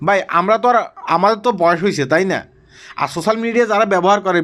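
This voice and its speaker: Pitched high, a man talks with fairly even intonation. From Bangladesh. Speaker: social media commentator. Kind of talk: vlog commentary.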